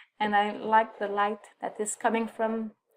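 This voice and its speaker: Speaking with a French accent, a woman talks at a fairly slow pace. Her pitch is medium. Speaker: photographer. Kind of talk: photo presentation on a livestream. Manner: halting, many fillers.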